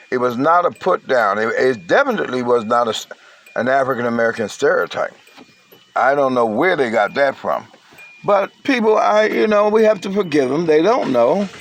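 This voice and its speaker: Amid noticeable background noise, a man with a fairly high voice talks at a moderate pace, his pitch swinging very widely. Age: 60s. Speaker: online commentator. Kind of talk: casual monologue.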